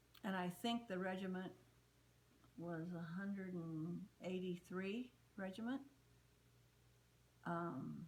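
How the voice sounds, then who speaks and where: Here a woman is talking. A somewhat breathy quality colors her voice. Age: 70s. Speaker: interviewee, daughter of a fallen WWII soldier. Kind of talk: interview testimony. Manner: halting, with fillers and repeats.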